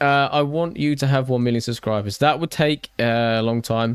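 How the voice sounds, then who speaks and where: A man with a British accent speaks at a medium pitch with fairly even intonation, recorded dry and close with no echo. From Britain. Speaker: gaming YouTuber, livestreamer. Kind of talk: casual livestream chat while building.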